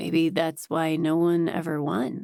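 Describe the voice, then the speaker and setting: A raspy put-on character voice, fairly slow, with fairly even intonation. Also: woman. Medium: read story. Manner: playful, easygoing.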